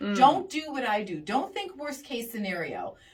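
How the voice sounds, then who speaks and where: A woman speaks at a moderate pace with a warm tone. Her pitch is high. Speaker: radio show host giving advice. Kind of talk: radio advice segment. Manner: warm, empathetic.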